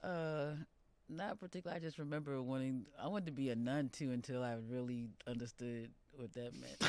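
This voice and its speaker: A woman with an American accent speaks at a fairly quick pace in a very deep, low pitch with a dark, mellow tone and ordinary pitch variation. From New Jersey, US; Jamaican parents. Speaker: poet and musician. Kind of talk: interview.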